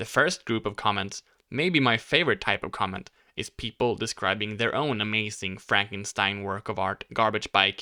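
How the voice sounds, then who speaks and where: Recorded very cleanly with a silent background and a dry, close sound with no echo, a man with a Swedish accent speaks at a moderate pace and a fairly low pitch, with a bright, sharp tone and ordinary pitch variation. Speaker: bike YouTuber. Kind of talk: casual vlog talk.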